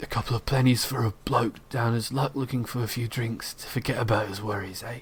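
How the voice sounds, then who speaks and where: Putting on a character voice, a man sounds raspy at a medium pitch, talking at a fairly quick pace over light background noise. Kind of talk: rough, colloquial British. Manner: wheedling.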